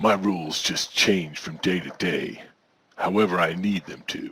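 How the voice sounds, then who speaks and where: A man's raspy, put-on character voice, very deep and low, at a moderate pace with big swings in loudness and fairly even intonation. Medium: audio drama. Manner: smug, self-assured, mysterious.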